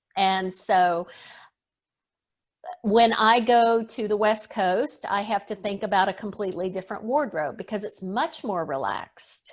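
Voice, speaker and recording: A woman speaks in a plain, everyday voice with an American accent, at a medium pitch, a fairly slow pace and ordinary pitch variation. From US South. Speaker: etiquette expert. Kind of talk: interview.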